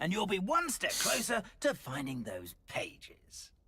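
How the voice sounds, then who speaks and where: This is a put-on character voice. It is pitched fairly high. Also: moderate pace. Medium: video game. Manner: polite, mildly hesitant.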